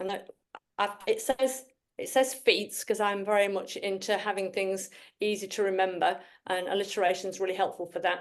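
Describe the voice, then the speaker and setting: A woman at a medium pitch, moderate pace and fairly even intonation. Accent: strong Yorkshire. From northern England, Yorkshire. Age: 60s. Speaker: Anglican priest and women's charity leader. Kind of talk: presentation. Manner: halting.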